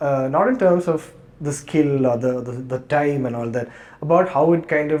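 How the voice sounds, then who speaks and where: Noticeable background noise behind a man's fairly high voice, ordinary pitch variation and a moderate pace. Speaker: film journalist, interviewer. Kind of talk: interview question.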